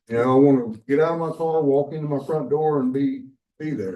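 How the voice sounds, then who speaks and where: A man talks at a moderate pace with a dark, mellow tone. Audible room echo surrounds the voice. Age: 60s. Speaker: property owner requesting a variance. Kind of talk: public meeting discussion. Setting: county commissioners court meeting.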